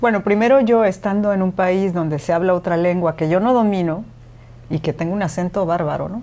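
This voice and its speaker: A woman at medium pitch, dark and mellow in tone, with ordinary pitch variation. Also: fairly quick pace. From Mexico. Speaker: radio presenter and podcaster. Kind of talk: interview conversation.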